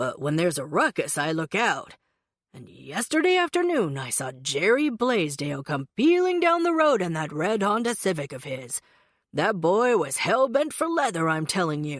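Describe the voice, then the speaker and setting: A put-on character voice, gruff and pitched in the middle range. It moves at a moderate pace. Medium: read story. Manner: folksy, grumbling.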